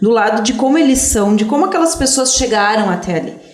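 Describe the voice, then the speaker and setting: The lively intonation comes at a moderate pace, with audible room echo and noticeable background noise. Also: woman. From southern Brazil, Serra Gaúcha (Antônio Prado, Italian-descended area). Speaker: history teacher. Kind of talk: interview.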